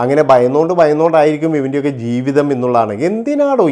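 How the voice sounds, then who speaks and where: Dark, mellow tone with ordinary pitch variation. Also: man. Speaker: YouTube gossip commentator. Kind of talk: opinion monologue.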